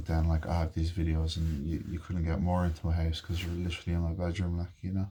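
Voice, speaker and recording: This man speaks softly at a fairly quick pace, his pitch very deep and low, his tone dark and mellow. His intonation is monotone and flat, and the voice is somewhat breathy. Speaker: vlogger. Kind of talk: casual chat. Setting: bedroom. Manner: soft-spoken.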